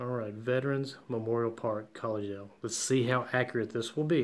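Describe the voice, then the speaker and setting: Fairly fast delivery from a man at medium pitch, intonation fairly even. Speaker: drone hobbyist YouTuber. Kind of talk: tutorial. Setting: at work office. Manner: keeping voice down.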